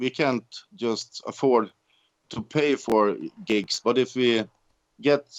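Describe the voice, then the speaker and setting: The speaker is a man. He talks with a Swedish accent. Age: 50s. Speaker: band musician. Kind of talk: interview. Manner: halting.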